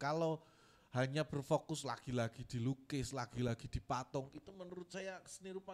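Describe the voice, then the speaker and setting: This man has a strong Javanese accent and a fairly high pitch, speaking at a moderate pace with ordinary pitch variation. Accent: strong Javanese (medok). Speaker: art curator. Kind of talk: workshop lecture. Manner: casual, conversational.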